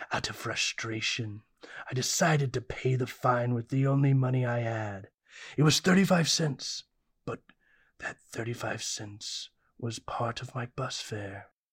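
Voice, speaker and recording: This is a put-on character voice. It sits at a low-to-middle pitch. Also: fairly slow pace. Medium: audio drama. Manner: grandiose, melodramatic.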